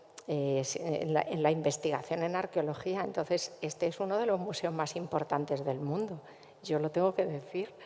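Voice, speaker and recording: A woman speaks at a moderate pace with fairly low pitch. Her pitch variation is ordinary. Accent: Castilian. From central Spain, Cuenca. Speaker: cultural manager. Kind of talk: panel discussion.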